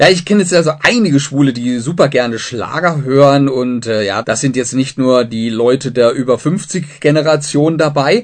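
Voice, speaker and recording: A man with an unremarkable speaking voice and a fairly high pitch talks at a moderate pace with ordinary pitch variation and hardly any pauses. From southern Germany. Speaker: radio host. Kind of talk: radio interview.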